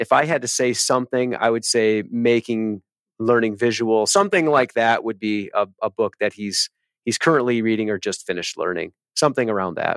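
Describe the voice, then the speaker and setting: In a dry, close sound with no echo, a man with an American accent speaks at a fairly quick pace in a plain, everyday voice, medium in pitch with ordinary pitch variation. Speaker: middle school principal. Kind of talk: casual interview chat. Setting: office.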